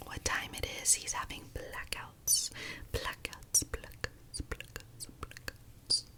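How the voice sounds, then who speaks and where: A whisper moves at a very slow pace with noticeable background noise behind it. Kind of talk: ASMR whisper ramble. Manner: whispered, soft-spoken.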